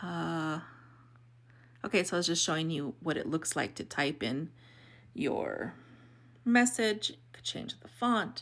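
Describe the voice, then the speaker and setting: On a very clean recording with a silent background, a woman speaks at a very slow pace with very wide pitch swings. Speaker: video editing tutorial creator. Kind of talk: tutorial. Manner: casual, hesitant with fillers.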